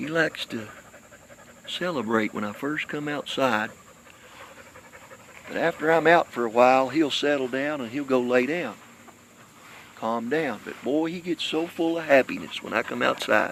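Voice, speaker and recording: A man with an American accent speaks at a fairly high pitch, leaving long, frequent pauses. Noticeable background noise runs underneath. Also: ordinary pitch variation, moderate pace. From Kentucky. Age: 60s. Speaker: pet owner livestreamer. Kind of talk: casual livestream chat to viewers. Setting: outdoors.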